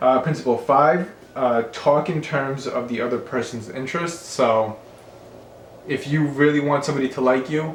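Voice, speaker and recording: Over noticeable background noise and audible room echo, a man talks at a moderate pace with a fairly high pitch and ordinary pitch variation. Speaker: realtor and book reviewer. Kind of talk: casual monologue book review. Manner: hesitant, many fillers and repeats.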